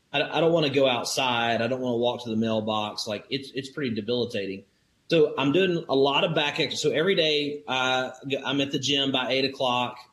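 A man with a Southern US accent, medium pitch, ordinary pitch variation and a fairly quick pace. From Alabama, US South. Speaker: crypto investor and business owner. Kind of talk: interview.

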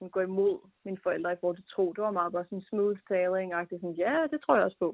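A woman at a medium pitch and a very fast pace, with ordinary pitch variation. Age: 20s. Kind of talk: interview.

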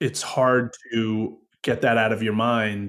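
A man talks in a medium pitch. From Woodstock, New York. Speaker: podcast producer and creator. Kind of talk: casual interview conversation. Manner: perfectionist, self-critical about voice.

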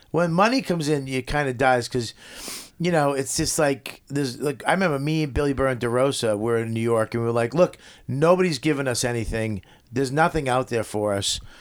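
A man speaks at a fairly quick pace with a Boston accent. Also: medium pitch for a man, ordinary pitch variation. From Boston area, Medford. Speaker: comedian. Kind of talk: casual chat.

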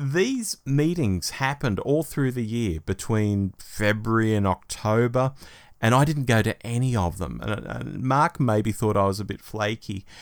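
In a very clean recording with a silent background, a man with an Australian accent talks at a fairly slow pace, his pitch medium with ordinary variation. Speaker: podcast co-host. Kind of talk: casual chat.

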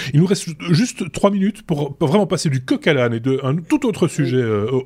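Here a man talks at a fairly high pitch with lively intonation. His voice is somewhat breathy and his pace fairly quick. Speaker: podcast host. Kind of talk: casual chat. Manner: halting.

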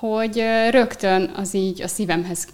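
The voice belongs to a woman. Her pitch varies in an ordinary way. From Hungary, Eger. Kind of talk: interview conversation.

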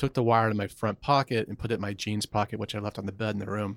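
A man with an American accent and a fairly low pitch talks at a very fast pace in a flat monotone. The very clean recording is dry and close, with a silent background and no echo. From US South, Atlanta, Georgia. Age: 40s. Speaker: former Wall Street analyst, public speaker. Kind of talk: candid interview.

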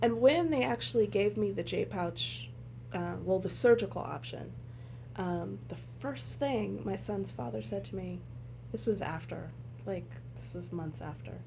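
An American accent at a fairly slow pace, with audible room echo and big swings in loudness. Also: woman. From Los Angeles. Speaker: patient blogger, mother. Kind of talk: casual chat. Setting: hotel room.

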